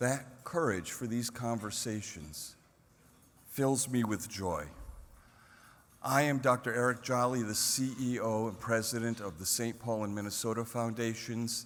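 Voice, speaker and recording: A man talks at a fairly slow pace with medium pitch and ordinary pitch variation. There is audible room echo. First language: Cherokee. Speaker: foundation executive. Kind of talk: speech. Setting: stage with audience. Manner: formal.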